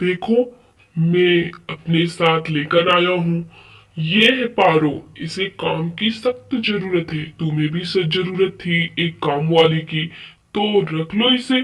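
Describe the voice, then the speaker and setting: At a fairly slow pace, someone performs a put-on character voice pitched in the middle range. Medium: machinima. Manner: warm, persuasive.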